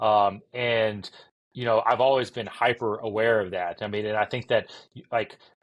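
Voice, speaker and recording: Against a quiet background, a man speaks at a moderate pace with medium pitch. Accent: American. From US South. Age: 40s. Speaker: entrepreneur. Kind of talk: podcast interview. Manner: halting, many fillers.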